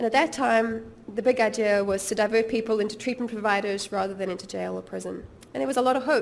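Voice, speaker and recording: A woman speaks at a very fast pace with vocal fry. Her pitch is fairly high and her intonation fairly even. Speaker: policy researcher. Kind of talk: lecture. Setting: seminar with audience. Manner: halting with fillers.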